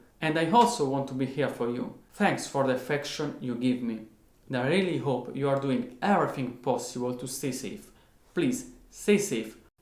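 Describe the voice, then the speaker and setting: Moderate pace and ordinary pitch variation, with audible room echo. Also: man, fairly high pitch for a man. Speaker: guitarist, online music teacher. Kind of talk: tutorial. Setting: at home.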